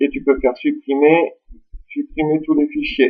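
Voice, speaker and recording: The man's speech unfolds at a fairly slow pace. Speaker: tech tutorial youtuber. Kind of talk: screen-recorded software tutorial. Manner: casual, informal.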